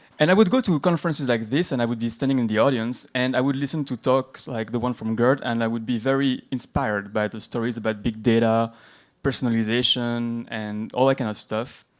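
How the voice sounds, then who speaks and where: On a very clean recording with a silent background, a man at medium pitch talks at a fairly quick pace with fairly even intonation. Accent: French. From France. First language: French. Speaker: conference speaker, tech company employee. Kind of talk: conference talk.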